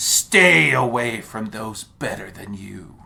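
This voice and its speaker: A put-on character voice, low in pitch, at a fairly slow pace, with hissing. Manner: hostile, menacing.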